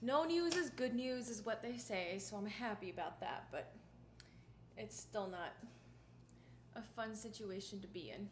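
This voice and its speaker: Her fairly high voice rises and falls in a lively way as this woman talks at a fairly slow pace, leaving long, frequent pauses, with audible room echo. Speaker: violinist streamer. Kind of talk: casual livestream chat. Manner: casual, chatty.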